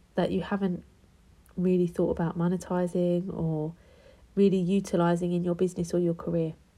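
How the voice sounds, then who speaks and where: With a British accent, a woman speaks fairly quickly at a fairly low pitch, her tone dark and mellow and somewhat breathy. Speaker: tarot card reader. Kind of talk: tarot reading. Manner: casual, chatty.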